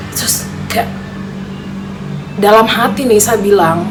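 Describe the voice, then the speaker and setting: With audible room echo and noticeable background noise, a woman speaks at a medium pitch and a very slow pace. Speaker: vlogger. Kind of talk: personal storytelling. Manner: casual.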